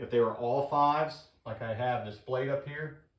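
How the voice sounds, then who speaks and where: This man talks at a moderate pace with fairly even intonation. Audible room echo surrounds his voice. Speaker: HVAC instructor. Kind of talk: tutorial.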